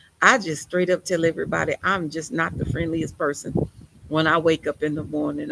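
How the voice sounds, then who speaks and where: A woman speaks with vocal fry. Her pace is fairly quick. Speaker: preacher. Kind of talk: sermon. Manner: animated.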